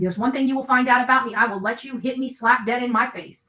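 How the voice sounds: At a fast pace, a woman speaks with a fairly high pitch, ordinary pitch variation and a bright, sharp tone.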